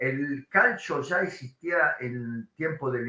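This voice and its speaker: With a fairly high pitch and ordinary pitch variation, a man talks at a very slow pace. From Italy. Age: 60s. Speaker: sports journalist. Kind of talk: lecture.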